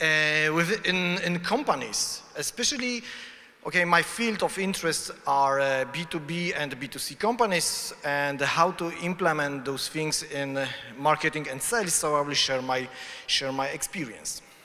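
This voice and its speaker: This man has a fairly high pitch, ordinary pitch variation and a Polish accent. He talks at a moderate pace over noticeable background noise. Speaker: conference speaker. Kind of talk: conference talk. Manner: halting.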